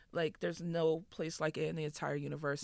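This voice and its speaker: Speaking at a very fast pace, a woman gets her words out. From Boston, Massachusetts (Dorchester). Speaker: rapper. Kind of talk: casual chat.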